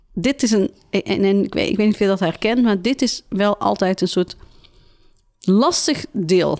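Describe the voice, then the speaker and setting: Her voice is a normal speaking voice, medium in pitch with ordinary pitch variation. The woman talks at a fairly slow pace with very even loudness. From Tilburg. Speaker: podcast host. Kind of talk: interview.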